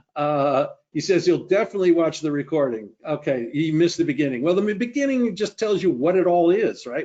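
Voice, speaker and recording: Using an unremarkable speaking voice, a man talks at a fairly quick pace with a fairly high pitch, lively intonation and hardly any pauses. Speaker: trading educator presenting a webinar. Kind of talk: webinar presentation and Q&A. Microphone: unstable internet connection.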